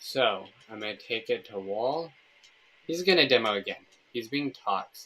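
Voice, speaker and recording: A man's lively intonation comes across at a fairly slow pace. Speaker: gaming streamer. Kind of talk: live gameplay commentary.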